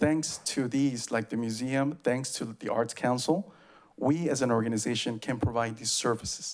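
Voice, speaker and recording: A man with an Oaxacan accent speaks with ordinary pitch variation. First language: Zapotec. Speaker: public commenter, community arts organization member. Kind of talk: public comment at meeting. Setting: public meeting podium.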